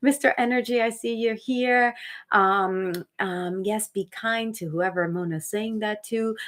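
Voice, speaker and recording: On a very clean recording with a silent background, a woman speaks with a slight Dominican accent. Her pitch is fairly high with ordinary variation, and her pace is fairly slow. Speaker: actor and motivational speaker. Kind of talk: live stream chat. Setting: home live stream. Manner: animated.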